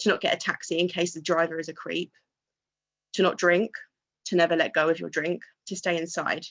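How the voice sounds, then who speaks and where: A woman's shaky, fairly low voice moves at a fairly quick pace in a monotone, flat delivery broken by long, frequent pauses. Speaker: student union president. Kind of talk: speech at a vigil or rally. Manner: emotional, shaky.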